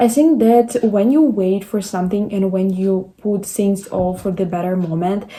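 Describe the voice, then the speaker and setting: With noticeable background noise behind her, a woman with a non-native accent speaks at medium pitch and a moderate pace, with ordinary pitch variation and hardly any pauses. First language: not English. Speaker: content creator. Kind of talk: motivational talk to camera.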